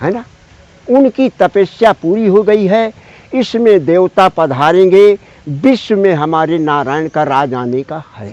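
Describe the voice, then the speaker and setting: Very slowly, a man with a high pitch speaks in lively intonation, his loudness swinging widely. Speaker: hermit ascetic holy man. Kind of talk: spiritual conversation.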